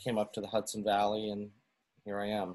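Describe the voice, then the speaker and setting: This is a man's voice. He speaks with a Western New York accent. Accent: Western New York American. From US, Buffalo, New York. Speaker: musician. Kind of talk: casual interview chat. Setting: video call. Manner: halting.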